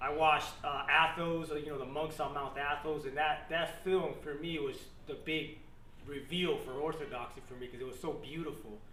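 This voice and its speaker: With an American accent, the speaker keeps a moderate pace and fairly even intonation amid audible room echo. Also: man. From Florida, Miami. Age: 30s. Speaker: Marine veteran, church convert. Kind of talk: testimony. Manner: casual, many fillers.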